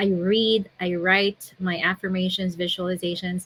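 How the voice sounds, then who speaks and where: A soft-spoken woman at a fairly slow pace with monotone, flat intonation. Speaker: digital business owner. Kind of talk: interview answer.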